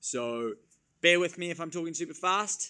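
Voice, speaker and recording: Over a very clean recording with a silent background, a man speaks with lively intonation. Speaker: fitness coach. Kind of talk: tutorial. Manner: fast.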